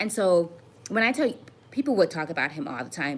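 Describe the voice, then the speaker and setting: This woman speaks with an American accent and very wide pitch swings over noticeable background noise. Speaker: web series creator. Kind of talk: live stream chat. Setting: livestream from computer. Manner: halting.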